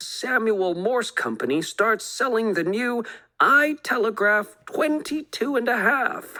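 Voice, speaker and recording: At a fairly slow pace, a woman puts on a character voice with a high pitch. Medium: read story. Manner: brisk, matter-of-fact.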